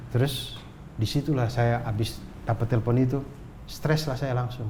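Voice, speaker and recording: Fairly even intonation marks this man's dark, mellow tone, which carries vocal fry. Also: medium pitch for a man, moderate pace. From North Sumatra, Indonesia. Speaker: comedian. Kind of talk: casual chat, storytelling.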